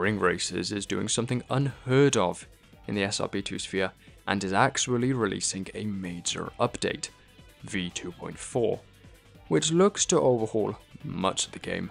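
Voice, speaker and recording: A man's fairly low voice at a moderate pace with ordinary pitch variation, music in the background. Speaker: gaming commentator. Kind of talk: game playthrough narration.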